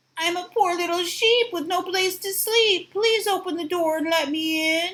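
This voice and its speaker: A woman's put-on character voice at an extremely high pitch and a moderate pace. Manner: sweet, coaxing, feigned innocence.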